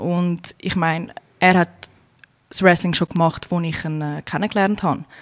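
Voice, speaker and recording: A woman speaks at a medium pitch with a Zurich accent, her intonation flat and monotone. The pace is fairly slow, and the sound is dry and close with no echo. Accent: Zurich Swiss German. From Zurich, Switzerland. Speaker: emigrant, wrestler's wife. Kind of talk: casual interview.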